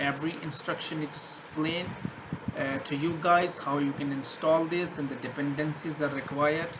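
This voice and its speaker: A man with a fairly high pitch talks at a moderate pace. The room echoes audibly, and background noise is noticeable. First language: not English. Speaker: programming tutor. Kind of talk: screen-share coding tutorial. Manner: halting, many fillers and restarts.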